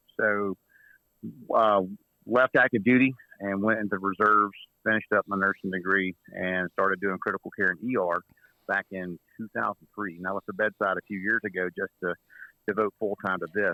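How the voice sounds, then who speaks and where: A man with a Southern US accent speaks at a moderate pace in a fairly low pitch, his tone bright and sharp, with long, frequent pauses and a dry, close sound with no echo. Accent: Southern twang. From Mississippi, US South. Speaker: medical instructor and trauma kit business owner. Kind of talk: casual podcast interview. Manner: animated.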